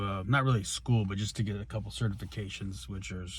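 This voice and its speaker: With audible room echo, a man talks at a fairly quick pace in a fairly low, somewhat breathy voice. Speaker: pro wrestler and wrestling coach. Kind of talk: casual vlog. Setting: at the gym and a store. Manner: halting, many fillers.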